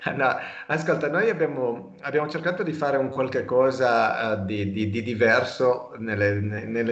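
This man speaks at a moderate pace with lively intonation, and audible room echo surrounds his voice. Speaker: cycling podcast host. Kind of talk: casual interview. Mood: warm, enthusiastic about cycling. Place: home room. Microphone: video call.

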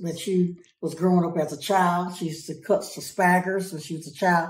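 In a room with audible echo, a woman with a fairly low, somewhat breathy voice speaks fairly quickly in a flat monotone. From rural farm upbringing. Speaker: family caregiver. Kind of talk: interview answer. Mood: warm, relaxed reminiscing. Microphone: phone near.

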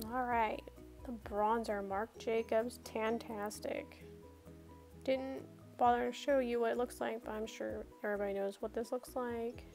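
Music plays behind the speaker. A woman talks fairly slowly. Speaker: beauty vlogger. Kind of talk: casual makeup tutorial voiceover.

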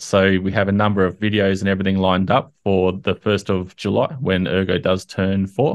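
A plain, everyday voice talks at a moderate pace against a quiet background. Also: man. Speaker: community update host. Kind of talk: commentary. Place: home room. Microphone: studio mic.

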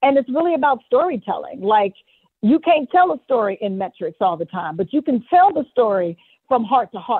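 With very wide pitch swings, a woman speaks in a high voice at a moderate pace. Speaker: performance coach. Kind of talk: interview.

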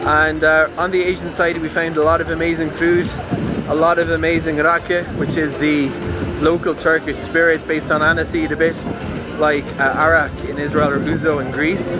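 A man at a moderate pace over clear background music, in a dry sound with no echo. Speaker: travel vlogger. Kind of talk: casual vlog chat. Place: street. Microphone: phone near.

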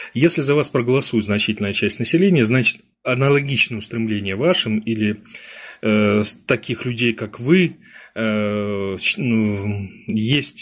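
The man speaks at a moderate pace and medium pitch. His pitch varies in an ordinary way, and the background is quiet. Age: 50s. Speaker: political strategist; webinar host. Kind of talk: webinar lecture. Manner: halting. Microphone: webcam.

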